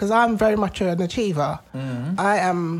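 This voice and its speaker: A woman speaks with a London accent. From London, Tottenham. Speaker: podcast co-host. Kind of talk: casual chat.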